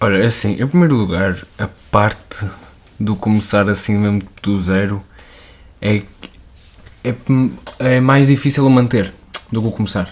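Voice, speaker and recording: A man speaks in a fairly low voice with ordinary pitch variation. His pace is fairly slow, with long, frequent pauses. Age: 20s. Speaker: musician. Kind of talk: casual chat.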